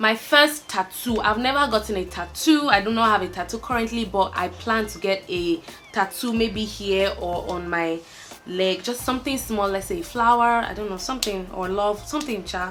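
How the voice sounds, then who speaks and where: A woman with a Nigerian accent speaks at a moderate pace in a medium pitch with ordinary pitch variation, over noticeable background noise. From Nigeria, Ibadan. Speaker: YouTuber. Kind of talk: casual chat.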